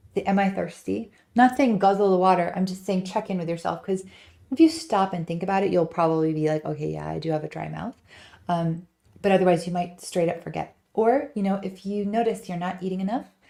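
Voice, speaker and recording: The voice has a dark, mellow tone, moves at a fairly quick pace, and shows ordinary pitch variation. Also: woman, medium pitch for a woman. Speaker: ADHD and nutrition wellness coach. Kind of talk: live-stream panel chat. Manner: animated, with many fillers.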